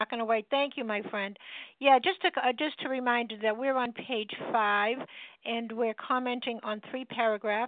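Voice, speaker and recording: At a moderate pace, a woman speaks with a normal speaking voice, fairly high in pitch, with ordinary pitch variation. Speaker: support group meeting leader. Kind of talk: group meeting facilitation. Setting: phone call.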